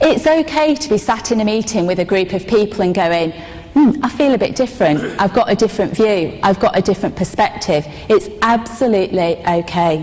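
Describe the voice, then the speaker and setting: A woman speaks with a northern English accent, her pitch swinging very widely, against noticeable background noise. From northern England. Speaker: corporate speaker. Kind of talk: conference speech. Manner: halting.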